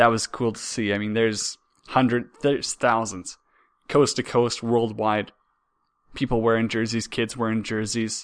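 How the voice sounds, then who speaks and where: The speaker has a Canadian prairie accent and keeps a moderate pace. The background is quiet. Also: man. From Saskatchewan, Canada. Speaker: hockey podcast host. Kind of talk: casual solo sports talk. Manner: halting, frequent repetitions.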